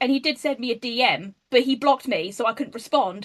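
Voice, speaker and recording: A woman in an English accent talks at a fairly quick pace with a high pitch. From England. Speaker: online activist. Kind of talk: casual chat. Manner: animated.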